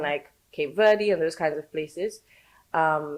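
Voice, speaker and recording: In a London accent, a woman speaks with a very deep, low pitch and ordinary pitch variation. The recording is very clean, with a silent background. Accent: British (London). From born in Saint Lucia, raised in London. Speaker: educator teaching Creole. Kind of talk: podcast interview answer.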